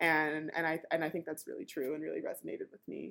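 In a Californian accent, a woman talks at a very fast pace. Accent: Californian American English. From Southern California. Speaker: product manager and conference speaker. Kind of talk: casual interview.

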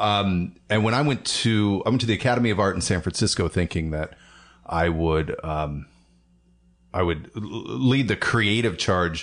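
With an American accent and an ordinary speaking voice, a man speaks at a fairly low pitch and a moderate pace with lively intonation. His loudness stays very even, and the background is quiet. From Portland, Oregon suburbs. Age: 40s. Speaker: animation producer and podcast co-host. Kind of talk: casual chat.

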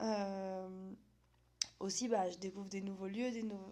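A woman's dark, mellow voice at medium pitch, monotone and flat in intonation, at a fairly slow pace. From France, Vosges (Épinal). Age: 20s. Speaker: podcast host. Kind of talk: solo monologue podcast.

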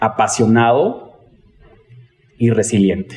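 Here a man speaks at a medium pitch. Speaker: pastry chef and entrepreneurship trainer. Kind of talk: casual interview.

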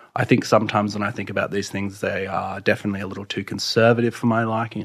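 A man with an Australian accent, fairly low pitched, in a monotone, flat delivery at a very fast pace. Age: 30s. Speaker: poet. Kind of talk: in-depth interview. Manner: halting.

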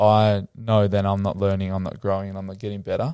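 A man speaks at a fairly low pitch in a dark, mellow tone. The recording is very clean, with a silent background and a dry, close sound with no echo. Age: young. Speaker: former footballer turned mental health coach. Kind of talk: casual interview chat.

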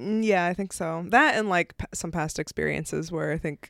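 The recording is very clean, with a silent background. A woman talks in an unremarkable speaking voice, fairly low in pitch, with ordinary pitch variation. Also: dry, close sound with no echo. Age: 30s. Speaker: comedian. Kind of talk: casual chat. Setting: filmed in person. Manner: laughs often.

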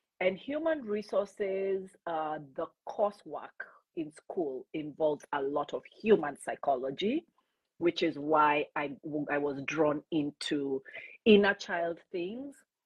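Very slow pace with lively intonation. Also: woman, fairly low pitch for a woman. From Kenya, Nairobi. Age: 50s. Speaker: life coach. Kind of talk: interview.

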